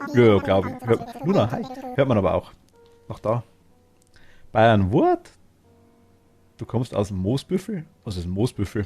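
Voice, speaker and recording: Music plays in the background as a man speaks at a fairly slow pace with long, frequent pauses and big swings in loudness. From Bavaria, Upper Palatinate (Oberpfalz). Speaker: video game streamer. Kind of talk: casual live-stream chat while gaming.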